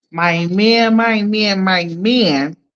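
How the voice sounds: In a put-on character voice at a middle pitch, the speaker performs with a Miami accent.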